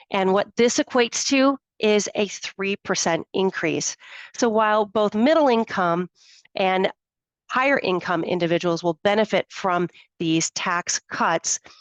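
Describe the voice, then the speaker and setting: A woman speaks at a medium pitch and a fairly slow pace, with ordinary pitch variation and very even loudness, in an ordinary speaking voice. The sound is dry and close with no echo, and the background is quiet. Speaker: financial planner. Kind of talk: webinar presentation. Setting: live webinar.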